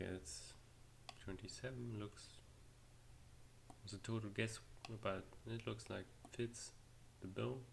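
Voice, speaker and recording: A man with a German accent speaks at a fairly slow pace in a fairly low, somewhat breathy voice, with ordinary pitch variation and long, frequent pauses. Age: 20s. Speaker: 3D artist. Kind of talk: tutorial. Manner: halting.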